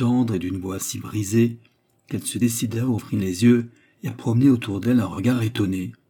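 The clip is plain reading aloud with a quiet background behind it.

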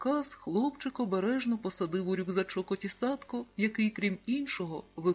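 The voice reads in an unforced way.

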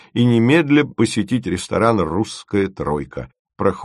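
An unforced reading voice is heard. Behind it, the background is quiet.

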